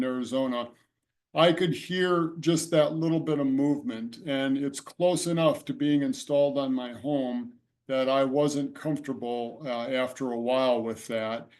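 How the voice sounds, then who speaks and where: At a moderate speed, a man talks in a fairly high voice. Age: 60s. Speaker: solar homeowner panelist. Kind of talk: testimony. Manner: halting, many fillers.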